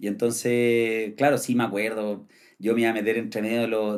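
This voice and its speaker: A man at a medium pitch and moderate pace on a very clean recording with a silent background. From Chile, Santiago. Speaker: traveler and content creator. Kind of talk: podcast interview. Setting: studio.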